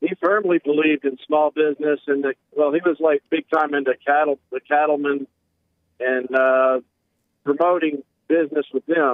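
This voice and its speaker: Delivered at a moderate pace, a man's ordinary speaking voice keeps fairly even intonation and very even loudness. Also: fairly high pitch for a man. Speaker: caller. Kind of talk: call-in conversation. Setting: phone call.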